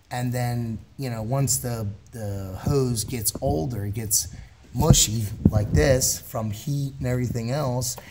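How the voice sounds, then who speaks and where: A man with an American accent talks at a fairly slow pace while noticeable background noise is heard. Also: medium pitch for a man, ordinary pitch variation. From Philadelphia, US. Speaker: auto mechanic. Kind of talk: repair tutorial.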